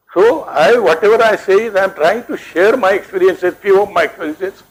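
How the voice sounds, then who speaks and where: Moderate pace from a man. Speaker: retired professor, educationist. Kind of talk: lecture. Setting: hall with audience. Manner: soft-spoken.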